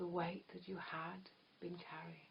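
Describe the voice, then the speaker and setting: A soft-spoken woman with a soothing tone and vocal fry. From England. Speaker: hypnotherapist. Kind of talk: guided hypnosis trance. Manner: soft-spoken, slow, soothing.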